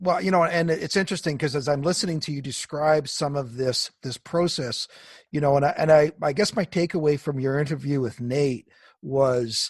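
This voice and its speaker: The background is quiet as a man speaks at a fairly high pitch with ordinary pitch variation. His voice is somewhat breathy. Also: moderate pace. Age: 50s. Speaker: podcast host. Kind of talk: interview.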